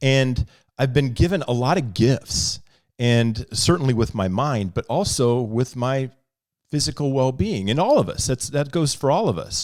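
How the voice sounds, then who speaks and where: On a very clean recording with a silent background, a man uses a normal speaking voice at a medium pitch, with lively intonation and a moderate pace. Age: 50s. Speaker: podcast co-host. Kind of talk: casual chat. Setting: studio.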